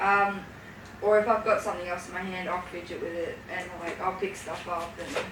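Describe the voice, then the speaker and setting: A woman speaks at a medium pitch with fairly even intonation, and some room echo can be heard. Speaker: youth space presenter. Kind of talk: casual chat. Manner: hesitant.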